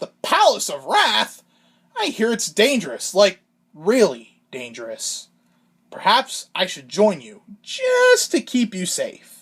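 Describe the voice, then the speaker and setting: Someone performs a cartoonish character voice at a fairly slow pace. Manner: casual, cheerful.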